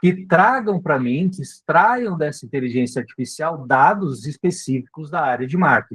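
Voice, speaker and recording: Somewhat breathy and fairly high in pitch, a man talks at a fairly slow pace with very wide pitch swings. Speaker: marketing instructor. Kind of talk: live online class. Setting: live video meeting.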